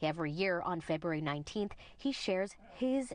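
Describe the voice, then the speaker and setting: An unremarkable speaking voice from a woman, fairly low in pitch, lively in intonation and fairly quick in pace. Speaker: news reporter. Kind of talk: TV news narration.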